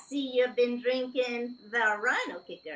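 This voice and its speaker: A female-sounding voice puts on a character voice. It is high-pitched and moves at a fairly slow pace. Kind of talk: comic sci-fi book reading. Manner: chatty, slightly annoyed.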